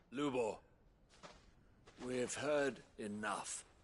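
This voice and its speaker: A man puts on a character voice at a medium pitch. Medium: video game. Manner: urgent, emphatic.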